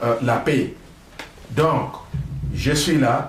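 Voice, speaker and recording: Amid noticeable background noise and audible room echo, a man speaks at a very slow pace in a fairly high pitch. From DR Congo, Maniema. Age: 60s. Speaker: political commentator, engineer. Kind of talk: political talk show interview.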